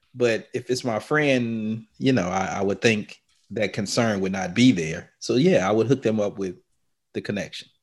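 A man with a Southern US accent and a fairly low pitch. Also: ordinary pitch variation, moderate pace. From US South, New Orleans. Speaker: podcast host. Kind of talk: casual banter. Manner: joking, playful.

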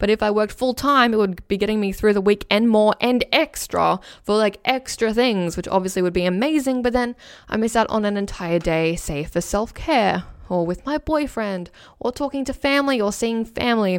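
With an Australian accent and an energetic tone, a woman speaks at a moderate pace with a fairly high pitch and ordinary pitch variation, on a very clean recording with a silent background. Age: 20s. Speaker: podcast host. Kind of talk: solo podcast reading survey responses. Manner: energetic radio delivery.

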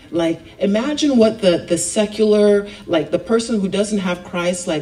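Clear noise sits behind the recording. A woman speaks at a middling speed, her pitch moving in a usual way. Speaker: youth speaker giving a message at church. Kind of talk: sermon. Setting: church. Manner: informal, conversational with filler words.

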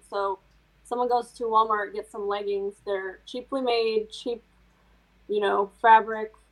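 With an American accent, a woman speaks in a fairly high pitch and a monotone, flat intonation. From US Midwest, small rural town. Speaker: fashion designer. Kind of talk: casual chat.

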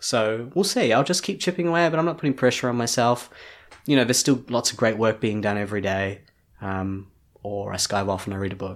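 A man with a New Zealand accent at medium pitch, very fast and lively in intonation, in a very clean recording with a silent background. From New Zealand, Hamilton. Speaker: artist and designer. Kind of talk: interview conversation.

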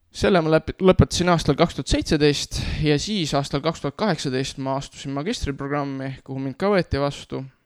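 A man with a fairly high pitch and ordinary pitch variation has an unremarkable speaking voice. The sound is dry and close with no echo, on a very clean recording with a silent background. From Estonia, Nõo (Tartu County). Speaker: youth worker and church community leader. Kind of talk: interview testimony.

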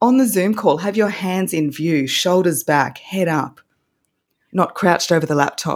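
In an Australian accent, a woman with a fairly low pitch speaks at a moderate pace. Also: ordinary pitch variation. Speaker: voice coach. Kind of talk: casual interview chat.

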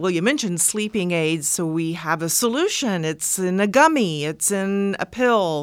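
A woman with an unremarkable speaking voice talks at a medium pitch and a moderate pace, with lively intonation and hardly any pauses. The recording is very clean with a silent background. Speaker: podcast co-host. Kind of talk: interview.

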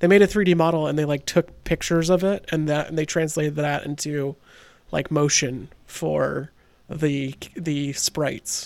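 A man's normal speaking voice, fairly high in pitch with ordinary pitch variation, on a very clean recording with a silent background. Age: 30s. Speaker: video game podcast host. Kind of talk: casual chat.

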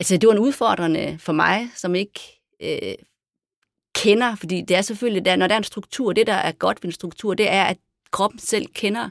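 In a very clean recording with a silent background, a woman talks at a moderate pace, with long, frequent pauses. Her medium pitch varies in an ordinary way. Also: dry, close sound with no echo. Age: 50s. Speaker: dancer and performer. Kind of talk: casual chat. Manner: halting.

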